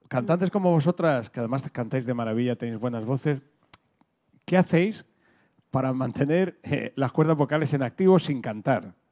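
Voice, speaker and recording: The background is quiet. A man speaks in a dark, mellow tone. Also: moderate pace. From Murcia, Spain; Spain. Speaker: radio host; moderator of a talk. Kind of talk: moderated talk. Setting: stage with audience. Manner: halting. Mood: relaxed, jokey. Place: hall. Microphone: handheld.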